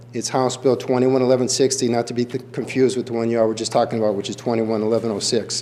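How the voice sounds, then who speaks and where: With hardly any pauses, a man talks at a very fast pace in a monotone, flat intonation over noticeable background noise. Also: medium pitch for a man. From New England. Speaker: animal shelter director. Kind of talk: public comment at county board meeting. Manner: passionate.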